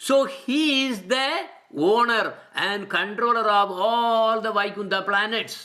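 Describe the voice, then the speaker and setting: Speech comes at a very slow pace on a very clean recording with a silent background. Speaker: religious teacher. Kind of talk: lecture. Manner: halting.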